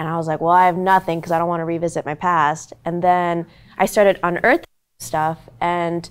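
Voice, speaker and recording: A woman with an American accent speaks at a moderate pace and a fairly low pitch on a very clean recording with a silent background. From US, Korean family. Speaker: stage actor. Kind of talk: panel discussion. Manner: casual, hesitant with fillers.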